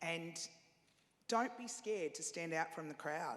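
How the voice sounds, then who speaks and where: A woman with an Australian accent, fairly low in pitch, at a moderate pace. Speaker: panelist, radio executive. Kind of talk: panel discussion. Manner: loud and chatty.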